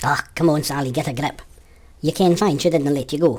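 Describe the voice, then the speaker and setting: A female-sounding voice performs a put-on character at a low-to-middle pitch, moving at a fairly quick pace. The recording is very clean, with a silent background. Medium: stage play. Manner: gruff, sceptical.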